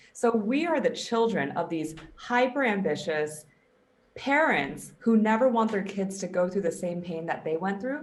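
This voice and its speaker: A woman's medium-pitched voice at a moderate pace, full of very wide pitch swings, with audible room echo. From US West Coast (Silicon Valley, Bay Area). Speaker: performance coach. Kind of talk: casual interview.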